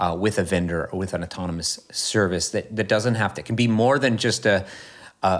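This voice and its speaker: On a very clean recording with a silent background, a man with an American accent and an unremarkable speaking voice talks at a fairly quick pace, his pitch fairly low with ordinary variation. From US Midwest/South (Kentucky and Indiana). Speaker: professor, urban planning researcher. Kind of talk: interview conversation.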